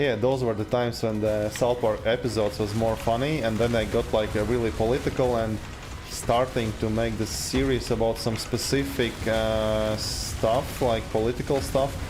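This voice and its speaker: Over music in the background and audible room echo, a man speaks at a moderate pace with a medium pitch, ordinary pitch variation and very even loudness. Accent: Eastern European. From Latvia, Riga. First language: Latvian. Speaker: video game streamer. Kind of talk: casual live stream chat. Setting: live stream with game music. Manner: halting, many fillers.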